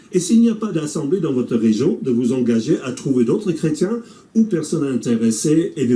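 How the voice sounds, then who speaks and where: This man has a dark, mellow tone, somewhat breathy, in an English Canadian accent. His pitch swings very widely at a moderate pace. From English-speaking Canada. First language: English (speaking French). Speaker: pastor. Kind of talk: scripted presentation.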